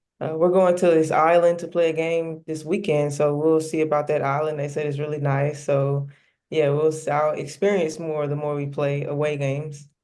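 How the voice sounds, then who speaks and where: A woman's very deep, low pitch in a dark, mellow tone, monotone and flat in intonation, at a moderate pace against a quiet background. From US South, Memphis, Tennessee. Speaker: professional basketball player. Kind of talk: interview. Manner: casual, hesitant with fillers.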